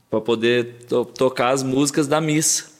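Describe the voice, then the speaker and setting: A man talks at medium pitch and a fairly slow pace, with fairly even intonation. It is an unremarkable speaking voice. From Brazil, Paraguaçu (Minas Gerais). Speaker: sertanejo singer. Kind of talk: casual interview chat.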